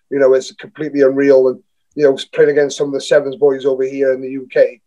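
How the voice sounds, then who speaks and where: Talking at a very fast pace, a man has a fairly high pitch and a dark, mellow tone. His intonation is monotone and flat. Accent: south Wales. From Newport, south Wales. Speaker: rugby player. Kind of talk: podcast interview. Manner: halting, many fillers and restarts.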